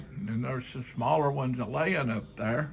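Speaking with an Appalachian accent, a man uses a medium pitch, ordinary pitch variation and a fairly slow pace. His voice is somewhat breathy, over light background noise. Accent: Appalachian Kentucky. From Kentucky. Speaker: folk artist, painter and sculptor. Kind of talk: casual talk to camera, gallery tour. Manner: slow, hesitant. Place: home room. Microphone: phone near.

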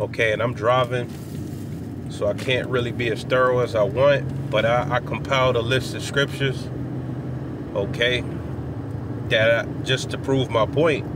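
Moderate pace, long and frequent pauses, noticeable background noise and a dry sound with no echo. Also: man. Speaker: religious teacher. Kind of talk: informal sermon. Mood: earnest, relaxed. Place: car. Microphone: phone near.

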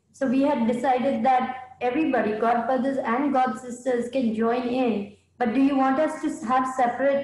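In a room with audible echo, a woman speaks at a high pitch and moderate pace, with fairly even intonation, very even loudness and hardly any pauses. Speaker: participant in online class. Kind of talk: class discussion. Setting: video call. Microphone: video call.

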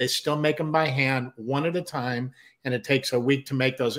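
Against a quiet background, a plain, everyday voice with an American accent speaks at a moderate pace with fairly even intonation. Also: man. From Southern California (San Diego); Southern California. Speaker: musician and producer, co-host; show co-host. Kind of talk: casual chat.

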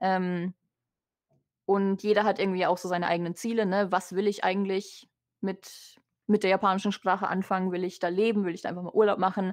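A woman's medium-pitched voice, flat and monotone, at a fairly quick pace against a quiet background. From Germany. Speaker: vtuber. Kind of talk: interview.

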